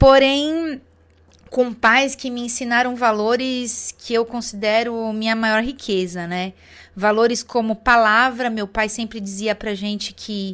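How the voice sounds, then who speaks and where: A woman's fairly high voice in a São Paulo accent, very slow, in a very clean recording with a silent background. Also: fairly even intonation. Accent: Brazilian Portuguese, São Paulo (paulistano). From Brazil, São Paulo city. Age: 40s. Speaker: network marketing distributor. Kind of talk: testimony. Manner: hesitant fillers.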